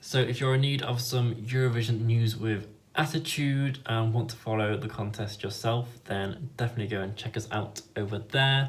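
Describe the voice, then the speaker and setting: At a moderate pace, a man speaks with hardly any pauses and fairly even intonation. His medium-pitched voice is somewhat breathy. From northern England, Leeds, Yorkshire. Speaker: YouTuber and fan site editor. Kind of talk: vlog intro.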